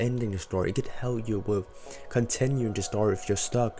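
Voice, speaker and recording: A man speaks at a medium pitch while music plays in the background. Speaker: digital artist. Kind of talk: casual talk to camera.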